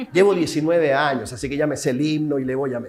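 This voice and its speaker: A man is speaking. His pitch is fairly high, with ordinary variation. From Chile. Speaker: civil protection specialist lecturing at a museum seminar. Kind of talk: lecture. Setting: seminar room with live and remote audience. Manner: interactive, questions to the audience.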